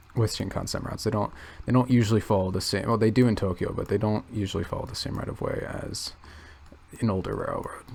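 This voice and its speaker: Soft-spoken, a man talks at a very fast pace. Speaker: youtuber. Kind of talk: casual commentary while browsing maps. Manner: hesitant, many fillers.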